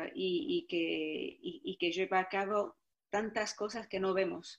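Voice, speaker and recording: This woman speaks at a medium pitch. Her pitch varies in an ordinary way. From Morocco, Tangier. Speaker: film director and actress. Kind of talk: interview. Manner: halting, many repetitions.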